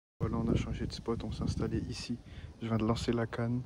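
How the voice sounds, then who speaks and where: Speaking at a moderate pace, a man keeps his medium-pitched voice monotone and flat. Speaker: angler. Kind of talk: live commentary while fishing. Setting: outdoors.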